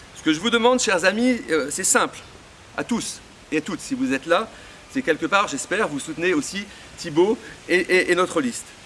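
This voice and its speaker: Long, frequent pauses break up a man's speech, over noticeable background noise. His pitch is high, and his intonation is lively. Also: moderate pace. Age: 60s. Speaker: local association president supporting a candidate. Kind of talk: political campaign speech. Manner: hesitant, many fillers and repetitions.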